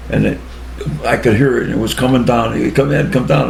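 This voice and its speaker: A man's very fast, medium-pitched speech over noticeable background noise. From Cheshire, Connecticut, USA. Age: 80s+. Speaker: war veteran. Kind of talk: interview answer.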